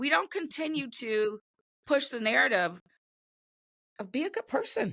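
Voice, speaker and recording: A woman's raised, projected voice, high-pitched with a bright, sharp tone, very wide pitch swings, a moderate pace and long, frequent pauses, in a dry, close sound with no echo. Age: 60s. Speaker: podcast host. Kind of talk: podcast panel discussion.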